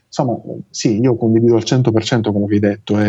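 This is a man speaking. His pitch is medium. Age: 30s. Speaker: engineer. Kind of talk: casual interview.

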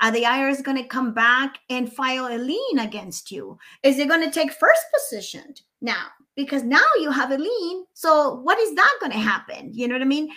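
A high-pitched woman's voice in a Spanish accent, raised and projected, bright and sharp in tone, with lively intonation. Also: moderate pace. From Nicaragua. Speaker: mortgage consultant and real estate broker. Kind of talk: casual interview chat. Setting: video call.

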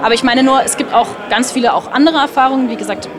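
Through noticeable background noise and audible room echo, a woman with a high voice speaks very fast, her intonation fairly even. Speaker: event guest, partner of a caster. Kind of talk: casual interview. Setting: event venue lobby.

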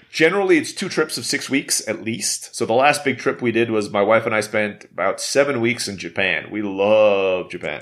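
With hardly any pauses and lively intonation, a man talks at a moderate pace in a normal speaking voice at a medium pitch. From Istanbul, Turkey (raised abroad, Filipino-American). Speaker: entrepreneur. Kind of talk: interview.

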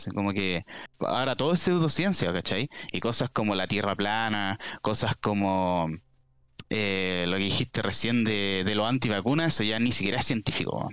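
A man speaks at a moderate pace in a plain, everyday voice. His pitch is fairly low, with ordinary variation. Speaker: podcast guest. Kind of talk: casual chat. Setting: live-streamed podcast.

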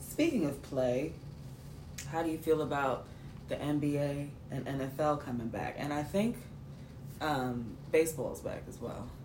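A woman with a very deep, low pitch speaks at a fairly slow pace in a somewhat breathy voice. Long, frequent pauses break up her speech, and room echo is audible. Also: ordinary pitch variation. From New York City. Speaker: podcast co-host. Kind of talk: casual chat.

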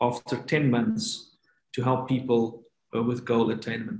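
A man speaks in a medium pitch, his voice somewhat breathy. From South Africa. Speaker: coaching researcher and lecturer. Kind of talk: interview.

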